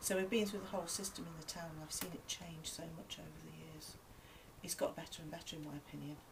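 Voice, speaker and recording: A woman speaks at a fairly low pitch with vocal fry. Her pitch varies in an ordinary way. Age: 60s. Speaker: piano and maths teacher. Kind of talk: interview.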